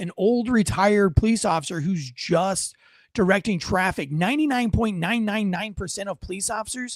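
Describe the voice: Ordinary pitch variation in plain reading aloud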